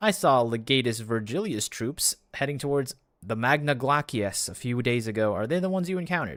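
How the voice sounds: Intonation stays lively across a natural reading voice.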